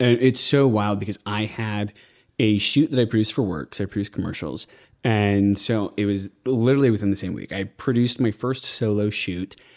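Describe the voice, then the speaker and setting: A plain, everyday voice with an American accent speaks at a fairly quick pace with ordinary pitch variation, recorded very cleanly against a silent background. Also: man, fairly low pitch for a man. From Austin, Texas. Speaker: podcast host and commercial producer. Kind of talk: casual chat. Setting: studio.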